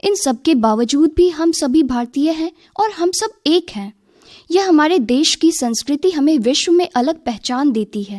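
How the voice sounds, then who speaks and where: With lively intonation, a woman speaks at a high pitch in a dry, close sound with no echo. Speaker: talk presenter on a radio youth programme. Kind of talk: radio talk.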